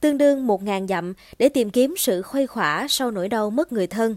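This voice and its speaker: On a very clean recording with a silent background and a dry, close sound with no echo, a woman with a normal speaking voice talks at a fairly high pitch with lively intonation. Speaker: podcast host. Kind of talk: scripted narration. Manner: formal.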